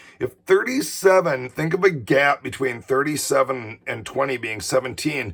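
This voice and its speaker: Noticeable background noise accompanies a man at a fairly high pitch who speaks at a moderate pace with very wide pitch swings. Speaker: teacher. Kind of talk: tutorial. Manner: casual.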